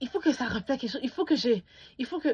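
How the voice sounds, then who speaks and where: A woman's high voice in an animated tone. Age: young. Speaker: beauty YouTuber. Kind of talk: casual vlog review.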